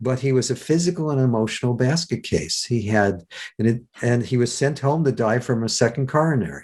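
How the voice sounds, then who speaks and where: A somewhat breathy man speaks at a medium pitch and a fairly quick pace. His loudness stays very even, with ordinary pitch variation. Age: 60s. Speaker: self-help teacher and speaker. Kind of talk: interview. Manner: halting, with frequent stammers and restarts.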